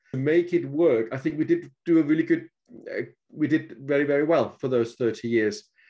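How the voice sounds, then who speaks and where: Speaking with a Danish accent, a man uses a fairly high pitch. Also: ordinary pitch variation, fairly quick pace. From Denmark. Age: 50s. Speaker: author. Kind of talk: casual chat.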